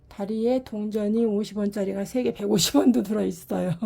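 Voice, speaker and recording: Over noticeable background noise, a woman talks at a moderate pace in a fairly high voice. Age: 60s. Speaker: ceramic pot maker selling own work. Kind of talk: product showcase sales talk. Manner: casual, unedited one-take talk.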